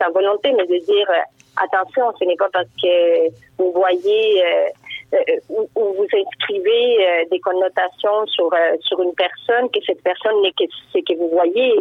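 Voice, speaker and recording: A woman is speaking. Her pace is very slow. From Uruguay. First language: Spanish (speaking French). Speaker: writer. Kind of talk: interview. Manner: hesitant.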